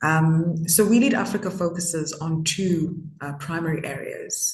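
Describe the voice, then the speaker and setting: Her voice sits very deep and low for a woman, somewhat breathy, with fairly even intonation. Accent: Zimbabwean. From Zimbabwe. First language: Shona. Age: 20s. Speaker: youth activist. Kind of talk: interview. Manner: hesitant, many fillers.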